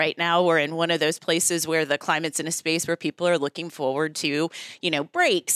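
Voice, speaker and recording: On a very clean recording with a silent background, a woman with an American accent and a fairly low pitch uses an ordinary speaking voice at a moderate pace. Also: dry, close sound with no echo. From US, Virginia (Newport News). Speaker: school district administrator. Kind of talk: interview.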